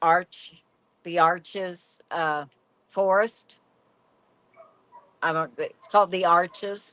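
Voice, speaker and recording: In a dry, close sound with no echo, a woman speaks at a very slow pace and medium pitch, with a bright, sharp tone and monotone, flat intonation. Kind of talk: casual chat.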